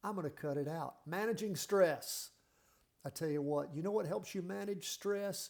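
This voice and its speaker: A man's high-pitched voice with lively intonation, at a moderate pace. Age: 60s. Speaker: health and fitness vlogger. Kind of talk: motivational talk. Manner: animated.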